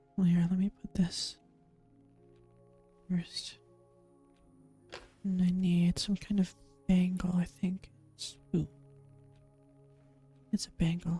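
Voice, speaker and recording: Long, frequent pauses break up the speech while music plays in the background. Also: fairly slow pace. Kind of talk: casual gameplay commentary, let's play. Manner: whispered, soft-spoken.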